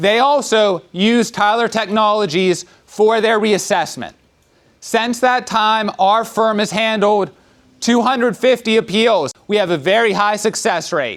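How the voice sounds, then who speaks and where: A man speaks loudly at a fairly slow pace in a high-pitched voice. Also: ordinary pitch variation. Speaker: lawyer. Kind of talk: public presentation. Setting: community center town hall with audience.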